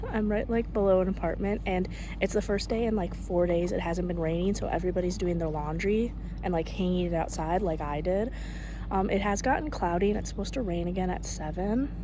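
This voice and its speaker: A woman speaks quietly at a fairly quick pace. The room echo is audible. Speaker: vlogger, exchange student. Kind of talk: casual vlog. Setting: outdoors in quiet neighborhood. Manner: quiet, hushed; hesitant, filler-heavy.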